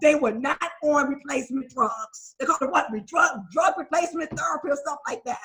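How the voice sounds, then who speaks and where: Talking at a very fast pace, a woman sounds animated, her intonation lively. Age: 60s. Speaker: recovering addict sharing at a recovery meeting. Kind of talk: testimony. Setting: video call.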